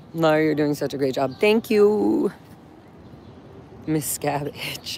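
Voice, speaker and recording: Amid noticeable background noise, a woman speaks at a very slow pace in a very deep, low voice. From raised inside Scientology. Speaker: live streamer and ex-member protester. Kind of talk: live stream from a street protest. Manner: animated.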